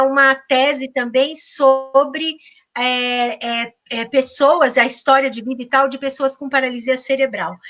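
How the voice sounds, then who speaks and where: A woman's high-pitched, bright and sharp voice at a moderate pace. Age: 60s. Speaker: university professor. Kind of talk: interview. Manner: animated.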